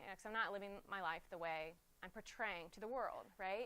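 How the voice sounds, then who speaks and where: A woman talks at a very fast pace in an animated tone. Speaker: conference speaker. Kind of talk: conference talk. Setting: stage with audience.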